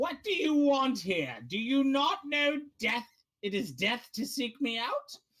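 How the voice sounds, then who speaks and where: A high, growling put-on character voice speaks at a fairly slow pace. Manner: snarling, menacing.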